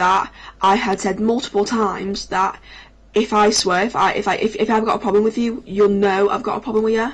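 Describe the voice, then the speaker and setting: In a northern English accent, a woman speaks at a fairly quick pace, her medium pitch held in a flat monotone. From northern England. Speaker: gaming streamer. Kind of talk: casual storytelling on a livestream. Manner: halting, many restarts.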